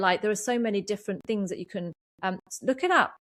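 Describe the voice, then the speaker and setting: A woman with an English accent on a very clean recording against a silent background. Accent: sounds very English. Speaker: podcast host and energy coach. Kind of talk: solo podcast monologue. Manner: halting, many fillers.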